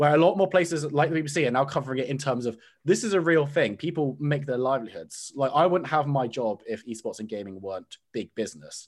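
A man with an ordinary speaking voice talks at a fairly quick pace with hardly any pauses, his fairly high pitch carrying lively intonation on a very clean recording with a silent background. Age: 20s. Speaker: esports caster. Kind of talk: podcast interview.

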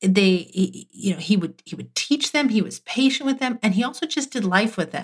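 There is a somewhat breathy quality. The intonation stays lively. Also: woman. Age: 30s. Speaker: podcast co-host. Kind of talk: casual faith-based conversation. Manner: humorous, chatty.

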